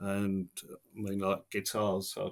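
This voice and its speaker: In a very clean recording with a silent background, a man with an English accent speaks at a fairly low pitch with monotone, flat intonation. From Essex, England. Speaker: taxi driver. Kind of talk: podcast interview answer. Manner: casual, conversational.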